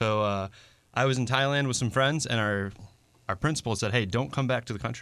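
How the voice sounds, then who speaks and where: A man's medium-pitched voice with an American accent, an ordinary speaking voice at a fairly quick pace with ordinary pitch variation, on a very clean recording with a silent background. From western New York (Buffalo / Niagara Falls). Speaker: roofing contractor. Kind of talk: radio interview. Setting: radio studio.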